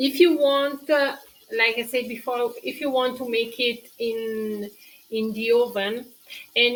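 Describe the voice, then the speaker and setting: The speaker talks fairly slowly with fairly even intonation in a Tuscan accent. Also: woman. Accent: Italian-accented English with Tuscan features. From Tuscany, Italy. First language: Italian. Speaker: cooking show host. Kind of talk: live-stream cooking tutorial with viewer chat. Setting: live stream. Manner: halting, with many fillers.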